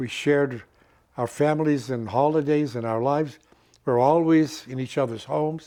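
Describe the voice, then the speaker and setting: The man's voice has a dark, mellow tone. His pitch is fairly high. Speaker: stage actor and director. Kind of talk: interview answer.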